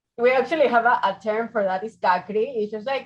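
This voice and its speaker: The speaker talks at a moderate pace with a Venezuelan accent. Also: woman. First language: Spanish. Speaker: architect, fellowship interviewee. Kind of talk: interview.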